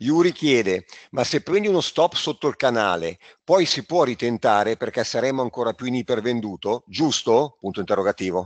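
With an unremarkable speaking voice, a man at medium pitch talks at a fairly quick pace with lively intonation, recorded dry and close with no echo against a quiet background. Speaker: trading school organizer. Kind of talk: webinar presentation. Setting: online webinar.

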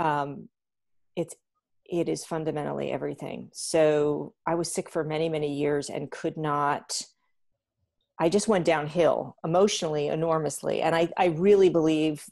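A woman's very deep, low voice with vocal fry and fairly even intonation. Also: quiet background. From New Jersey. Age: 50s. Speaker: professional organizer; podcast guest. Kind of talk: interview. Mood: earnest, reflective. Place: home room. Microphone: earbuds.

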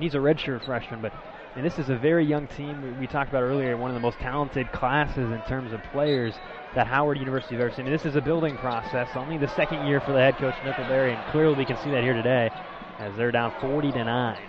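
A man with a medium pitch talks at a very fast pace over noticeable background noise. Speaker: color commentator. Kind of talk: live sports commentary, color analysis. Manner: conversational, explanatory, upbeat.

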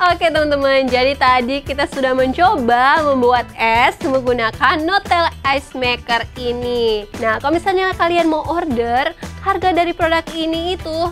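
With clear music in the background, a woman with a high voice speaks at a moderate pace with hardly any pauses. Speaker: presenter. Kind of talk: product review presentation. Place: studio. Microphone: lapel.

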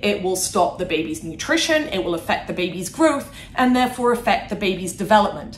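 A woman talks at a fairly quick pace. There is audible room echo and light background noise. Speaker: guest. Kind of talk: interview answer. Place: office.

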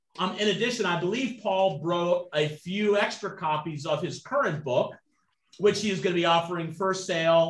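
A man at a moderate pace with ordinary pitch variation and audible room echo. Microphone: video call.

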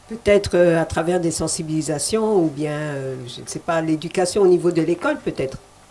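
The speaker's pitch varies in an ordinary way over noticeable background noise. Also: woman, fairly low pitch for a woman, moderate pace, big swings in loudness. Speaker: TV host. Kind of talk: TV interview. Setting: TV studio.

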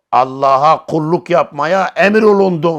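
Against a quiet background, a man's voice shows very wide pitch swings. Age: 50s. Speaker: Islamic religious teacher. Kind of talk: religious lecture.

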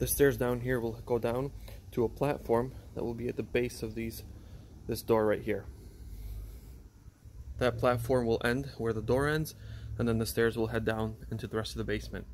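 With light background noise behind him, a man talks at a moderate pace, taking long, frequent pauses. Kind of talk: casual vlog tour commentary. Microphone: phone near.

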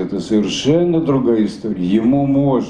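The pace is moderate. Room echo can be heard. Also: man. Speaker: satirist writer and stage performer. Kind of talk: interview answer. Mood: animated, humorous. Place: hall. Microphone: handheld.

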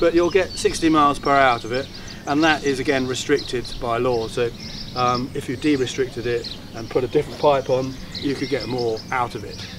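A man talks at a moderate pace with a medium pitch and fairly even intonation. Clear background noise runs underneath.

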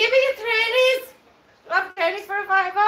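In a put-on character voice, squeaky and extremely high-pitched, the speaker goes at a fairly quick pace with audible echo around it. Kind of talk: casual live-stream chat. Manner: demanding, threatening.

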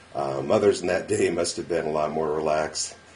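Talking at a fairly quick pace, a man with an American accent speaks with vocal fry. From Silicon Valley, California; California. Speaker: interviewer. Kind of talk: interview. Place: home room. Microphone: webcam.

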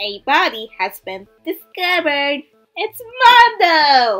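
A put-on character voice, high in pitch and fairly slow. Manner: gleefully sinister announcer.

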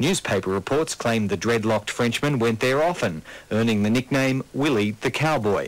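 A medium-pitched man with an Australian accent, at a moderate pace, with ordinary pitch variation and very even loudness. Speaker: news reporter. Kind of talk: news report narration. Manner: formal.

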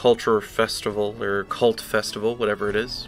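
Music plays in the background as a man with fairly low pitch speaks at a fairly slow pace. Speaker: video game let's play commentator. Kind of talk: casual gameplay commentary.

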